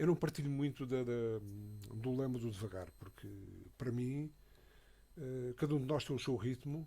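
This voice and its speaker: A man's medium-pitched voice in a dark, mellow tone, broken by long, frequent pauses. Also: ordinary pitch variation, moderate pace. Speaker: radio commentator. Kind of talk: radio panel discussion. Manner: halting, many fillers and repetitions.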